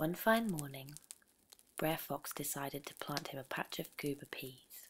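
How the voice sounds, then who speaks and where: Whispering and soft-spoken, the speaker goes at a fairly slow pace. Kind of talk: sleep story, storytelling read aloud. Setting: over crackling campfire background sound. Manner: soft-spoken, whispery.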